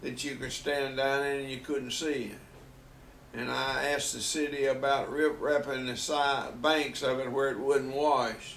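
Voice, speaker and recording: In a room with audible echo, a man with a Southern US accent speaks at a fairly high pitch and a fairly slow pace, his intonation monotone and flat. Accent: Southern US (Georgia). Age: 80s+. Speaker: grandfather telling life stories. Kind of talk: casual family interview.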